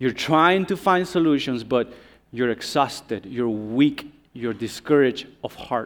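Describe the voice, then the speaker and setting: A man's plain, everyday voice at medium pitch, with lively intonation and a fairly slow pace. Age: 30s. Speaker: visiting preacher. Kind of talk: sermon. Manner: interactive call-and-response.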